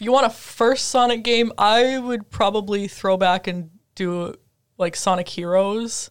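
A woman speaks with an Upper Midwest US accent at a fairly slow pace. Her pitch is medium and varies in an ordinary way. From Minnesota (Twin Cities area). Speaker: podcast co-host, graduate student. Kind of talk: casual chat.

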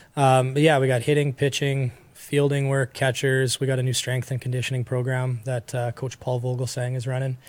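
A man's somewhat breathy, medium-pitched voice at a fairly quick pace, in monotone, flat intonation. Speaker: baseball trainer. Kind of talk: casual interview. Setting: studio.

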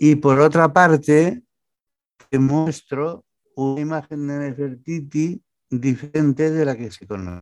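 Against a quiet background, a man in an ordinary speaking voice talks at a fairly slow pace and fairly high pitch, with ordinary pitch variation and big swings in loudness. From Barcelona, Spain (born in Almería). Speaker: novelist, retired banker. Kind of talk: interview.

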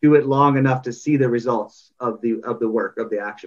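An unremarkable speaking voice with a Canadian accent moves at a moderate pace. Its intonation stays fairly even. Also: man. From Canada. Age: 30s. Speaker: parenting coach. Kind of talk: interview. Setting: video call.

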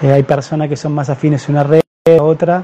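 With fairly even intonation, the man's voice sits fairly high in pitch. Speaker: doctor. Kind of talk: live-streamed health talk. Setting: Facebook live stream.

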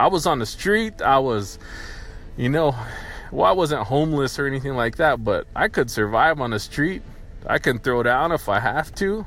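Speaking with an American accent, a man uses lively intonation. His pitch is fairly high and his pace moderate. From US, poor rural county. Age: 30s. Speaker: podcaster. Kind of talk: solo monologue. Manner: casual, halting.

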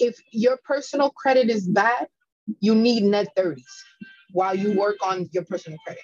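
A woman with a New York accent, fairly high-pitched, lively intonation, moderate pace, dry and close with no echo. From New York, Bronx. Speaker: credit repair consultant. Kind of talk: interview.

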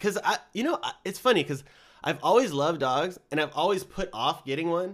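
There's vocal fry as a man speaks at a moderate pace, his pitch swinging very widely. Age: 30s. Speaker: podcast host. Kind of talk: casual chat. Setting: studio.

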